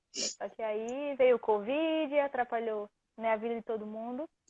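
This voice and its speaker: A woman with a northeastern Brazilian accent speaks at a fairly slow pace. Her pitch is fairly high, and her intonation stays fairly even. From Recife, northeastern Brazil. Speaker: student athlete. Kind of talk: interview. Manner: halting.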